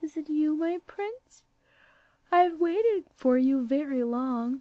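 A woman uses a put-on character voice, speaking fairly slowly at a high pitch with lively intonation. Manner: tender.

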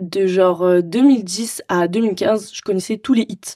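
Very slow delivery, dry and close with no echo, on a very clean recording with a silent background. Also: woman. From Marseille, southern France. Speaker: DJ. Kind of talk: casual interview.

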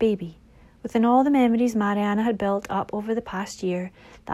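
The intonation stays fairly even as the text is read aloud in a natural voice.

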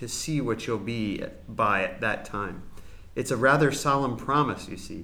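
The reading is done in an unforced reading voice with ordinary pitch variation.

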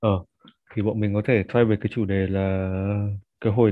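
Here a man speaks in a fairly low, monotone voice with flat intonation. His pace is moderate. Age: 20s. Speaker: marketer and musician. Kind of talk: casual chat.

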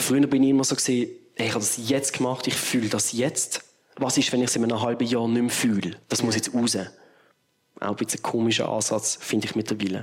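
The speaker is a man with a medium pitch. He delivers everything in a flat monotone. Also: fairly quick pace. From Switzerland, Basel area. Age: 30s. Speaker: musician. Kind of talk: casual interview.

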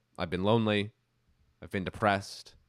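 Recorded with a dry, close sound and no echo, a man with an American accent speaks at a very deep, low pitch. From upstate New York, Albany area. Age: 20s. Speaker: podcast producer and author. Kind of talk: interview. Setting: remote call.

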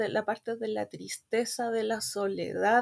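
A woman with an ordinary speaking voice talks at a fairly slow pace with a fairly high pitch. The recording is very clean with a silent background. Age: 30s. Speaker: guest fan. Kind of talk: casual chat.

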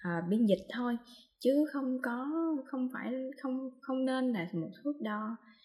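Her voice high-pitched yet dark and mellow in tone, a woman speaks at a very slow pace with lively intonation. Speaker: podcast co-host on translation. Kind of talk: casual chat. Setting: video call from home.

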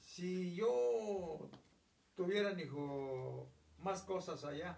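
A man talks with ordinary pitch variation. Room echo is audible, and background noise is noticeable. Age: 70s. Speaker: grandparent telling family history. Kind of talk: casual chat.

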